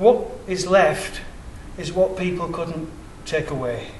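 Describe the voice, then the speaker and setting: Amid audible room echo and noticeable background noise, a man with a high pitch speaks at a fairly slow pace with lively intonation. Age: 60s. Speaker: independent researcher. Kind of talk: public presentation.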